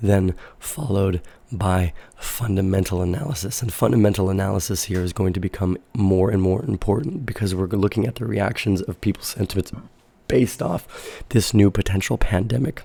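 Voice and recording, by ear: A low-pitched, raspy male voice with a dark, mellow tone, a slightly husky edge and vocal fry, at a moderate pace. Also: ordinary pitch variation.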